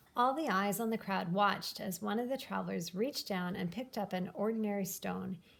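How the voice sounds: A woman talks at a moderate pace with vocal fry. Her medium pitch has ordinary variation and a fairly bright tone.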